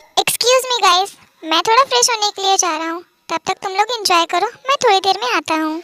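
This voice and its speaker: A woman's squeaky, put-on character voice at an extremely high pitch and a very fast pace. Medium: read story. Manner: casual, chatty.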